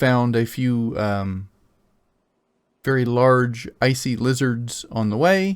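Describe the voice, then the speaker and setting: A man with an American accent speaks at a medium pitch and a very slow pace, with long, frequent pauses and ordinary pitch variation. The recording is very clean with a silent background. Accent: slight Oklahoma accent, rarely used. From Oklahoma. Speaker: game master. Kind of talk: tabletop roleplay session. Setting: live stream.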